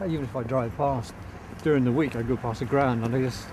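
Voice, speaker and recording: A man with a Norfolk accent speaks at a fairly quick pace with ordinary pitch variation. Background noise is noticeable. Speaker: radio presenter and football commentator. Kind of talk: interview answer. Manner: casual, chatty.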